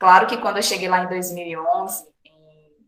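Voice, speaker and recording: Amid audible room echo, a woman talks at a fairly quick pace, medium pitch and fairly even intonation. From Brazil, Bahia/Minas Gerais border. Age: 30s. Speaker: physical education teacher and cultural project coordinator. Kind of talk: interview. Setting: online recording.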